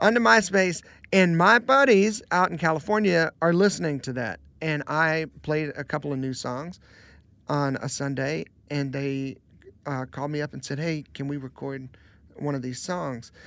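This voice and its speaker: In an American accent, a man speaks at a moderate pace and a fairly high pitch, with ordinary pitch variation. The recording is very clean, with a silent background. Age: 30s. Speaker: worship pastor and singer-songwriter. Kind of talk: casual chat.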